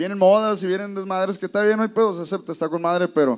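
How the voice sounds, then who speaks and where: A man's high voice rises and falls with ordinary pitch variation. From South Texas (McAllen), Mexican family from Nuevo León. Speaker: band leader and musician. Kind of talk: casual chat.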